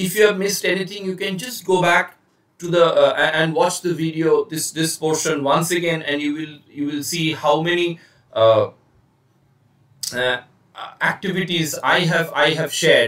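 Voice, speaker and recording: A man with an Indian accent speaks at high pitch, leaving long, frequent pauses. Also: ordinary pitch variation. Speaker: communication trainer. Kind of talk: lecture. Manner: hesitant, many fillers; slow, deliberate.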